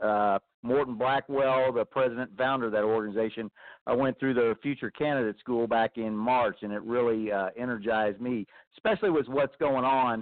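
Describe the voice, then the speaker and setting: Speaking in a normal speaking voice with an American accent, a man of medium pitch talks at a fairly quick pace with fairly even intonation. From Texas. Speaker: army veteran and political candidate. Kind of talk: call-in comment.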